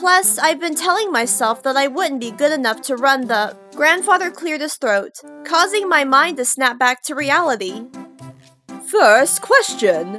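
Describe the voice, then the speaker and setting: Music plays behind a woman speaking at a moderate pace in a high pitch. Her voice is raised and projected, with very wide pitch swings. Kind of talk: audiobook-style story narration.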